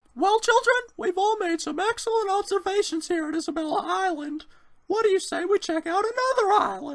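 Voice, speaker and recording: This cartoonish character voice is squeaky and extremely high in pitch, moving at a fairly quick pace. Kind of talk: comic overacting. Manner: boisterous, theatrical, laughing.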